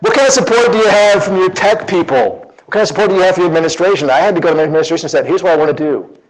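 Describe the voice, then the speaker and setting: Amid audible room echo, the speaker talks very fast in an animated tone with lively intonation. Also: man. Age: 50s. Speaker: teacher and conference presenter. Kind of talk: conference talk.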